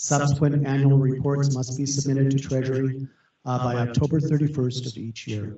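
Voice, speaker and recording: Here a man talks at a fairly quick pace and medium pitch. His voice is somewhat breathy, with monotone, flat intonation. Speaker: county official presenting federal funding rules. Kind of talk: presentation. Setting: video conference meeting. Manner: fast.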